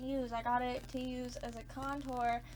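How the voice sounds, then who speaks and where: A woman with an American accent speaks at a high pitch. Noticeable background noise and audible room echo fill the recording. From US South, Georgia. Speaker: beauty vlogger. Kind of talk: casual chat. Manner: animated.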